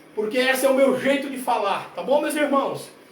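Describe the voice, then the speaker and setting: A man speaks at an extremely high pitch and a moderate pace. His tone is energetic, and the room gives an audible echo. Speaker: preacher. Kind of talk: sermon. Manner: energetic, forceful.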